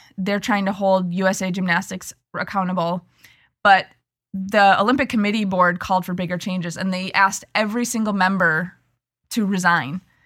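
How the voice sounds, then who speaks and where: A woman with an ordinary speaking voice talks at a fairly quick pace and a medium pitch with fairly even intonation, on a very clean recording with a silent background. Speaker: podcast co-host. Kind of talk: casual podcast discussion.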